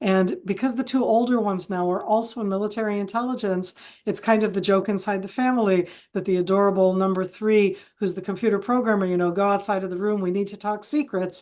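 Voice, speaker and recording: A woman with an American accent at a very fast pace, intonation fairly even. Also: medium pitch for a woman, quiet background. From Israel, American parents from San Francisco Bay Area. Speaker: retired military intelligence officer and analyst. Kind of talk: webinar interview.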